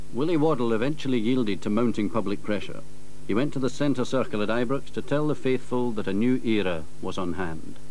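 Here is a man with a plain, everyday voice at medium pitch. His loudness stays very even while his intonation is lively. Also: fairly quick pace. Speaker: documentary narrator. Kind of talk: 1980s TV documentary narration, scripted, measured and authoritative. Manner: formal, measured, crisp.

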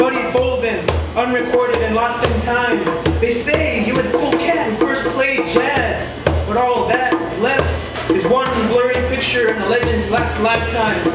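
A man speaks at a fairly slow pace over loud background music, with audible echo in the room. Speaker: poet. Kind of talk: beat poetry reading with jazz accompaniment. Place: cafe. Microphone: camera far.

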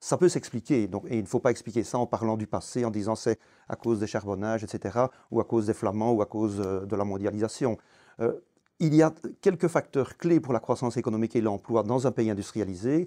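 Speaking at a fairly quick pace, a man uses a dark, mellow tone. The background is quiet. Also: ordinary pitch variation. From Belgium, Wallonia (Clabecq, Walloon Brabant); Wallonia, Belgium. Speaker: retired economics professor; interviewee. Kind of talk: interview. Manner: hesitant, frequent fillers. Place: studio. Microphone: lapel.

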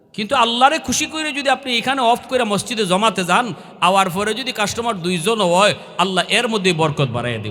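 A man speaks in a raised, projected voice with a high pitch and lively intonation, over noticeable background noise. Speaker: Islamic preacher. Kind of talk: sermon. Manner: emotional, impassioned.

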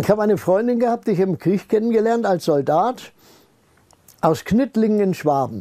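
A man's high-pitched voice with a dark, mellow tone, ordinary pitch variation and very even loudness, broken by long, frequent pauses against a quiet background. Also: moderate pace. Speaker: retired scientist speaking on paranormal research; interviewee. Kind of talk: interview, personal storytelling. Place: home room.

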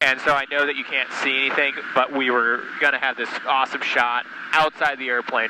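A man speaks in a monotone, flat intonation. Noticeable background noise sits behind him. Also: fairly quick pace, dry sound with no echo. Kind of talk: casual explanatory commentary. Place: plane. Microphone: headset.

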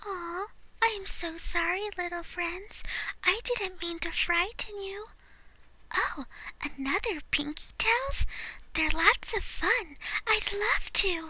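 A woman puts on a character voice at an extremely high pitch. She goes at a fairly slow pace with long, frequent pauses. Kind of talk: voice acting audition. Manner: soft-spoken, hesitant.

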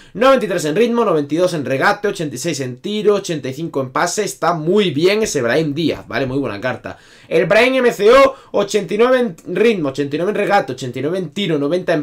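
Against a quiet background, a man talks at a very slow pace in a high pitch. His pitch swings very widely. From Spain. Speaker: gaming youtuber. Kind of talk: video game tutorial. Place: home room.

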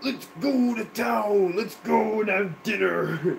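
A man uses a put-on character voice pitched high and delivered at a fairly slow pace. Background noise is clearly heard.

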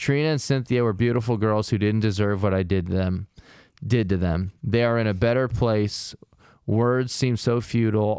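With an American accent, a man speaks at a moderate pace and fairly low pitch, his loudness very even, the sound dry with no echo and the background quiet. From US Midwest. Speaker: comedy true-crime podcast host. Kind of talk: casual comedic chat with true-crime storytelling. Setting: recording session with co-hosts. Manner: animated, laughs often. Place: studio. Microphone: studio mic.

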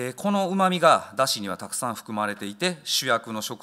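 A man's bright, sharp voice at a fairly quick pace, with very wide pitch swings, against a quiet background. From Japan, Osaka. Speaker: chef. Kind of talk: lecture. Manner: halting; formal. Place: hall. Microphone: podium.

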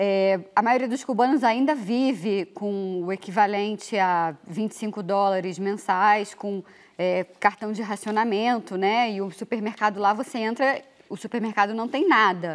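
The woman talks at a fairly slow pace. Her pitch variation is ordinary. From Brazil. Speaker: international news reporter; journalist panelist. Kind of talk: TV interview questions. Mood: earnest, critical. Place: studio. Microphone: lapel.

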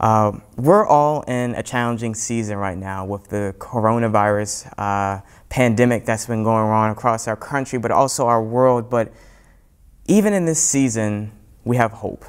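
A man talks at a moderate pace with ordinary pitch variation, and the background is quiet. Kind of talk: sermon. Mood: warm, earnest. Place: church. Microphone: lapel.

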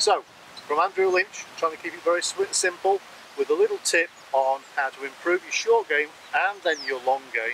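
A man is heard over noticeable background noise. The sound is dry, with no echo. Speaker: golf coach. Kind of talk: tutorial. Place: open country.

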